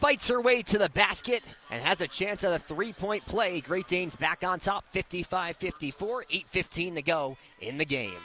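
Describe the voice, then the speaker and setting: A raised, projected voice with lively intonation comes at a moderate pace over noticeable background noise. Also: man. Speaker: student sports broadcaster. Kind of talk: radio basketball play-by-play.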